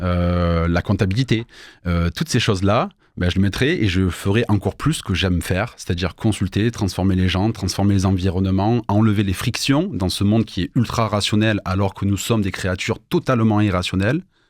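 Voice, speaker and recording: At a fairly quick pace, a man speaks with a southern French accent. His fairly low voice has ordinary pitch variation. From southern France, Avignon. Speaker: entrepreneur, business consultant. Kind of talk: radio interview. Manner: hesitant, many fillers.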